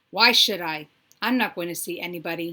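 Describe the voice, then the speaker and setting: In a put-on character voice, a woman growls in a grumpy tone at a fairly low pitch and fairly quick pace, with ordinary pitch variation, on a very clean recording with a silent background. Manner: growling, grumpy.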